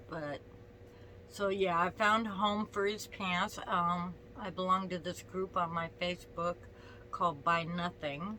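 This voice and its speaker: Over noticeable background noise, the talking goes at a fairly slow pace, the intonation staying fairly even. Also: woman, fairly low pitch for a woman. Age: 60s. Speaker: vlogger. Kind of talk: casual vlog chat. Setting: at home, on the bed. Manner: halting, with many fillers.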